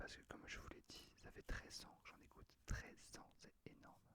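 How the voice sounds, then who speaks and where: Whispering in a relaxed tone, the speaker moves at a fairly slow pace. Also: man. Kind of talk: ASMR channel introduction, casual talk to camera. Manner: soft-spoken, relaxed, whispered ASMR style.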